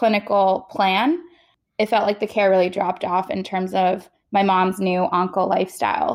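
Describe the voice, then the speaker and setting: A woman speaks in a plain, everyday voice with fairly even intonation. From Queens, New York. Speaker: cancer survivor and startup founder. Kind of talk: interview.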